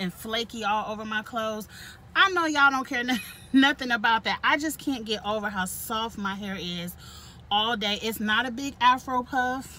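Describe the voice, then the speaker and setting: A woman speaks at a moderate pace with ordinary pitch variation in a dry sound with no echo. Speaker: vlogger. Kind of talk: casual vlog chat. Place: car. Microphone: phone near.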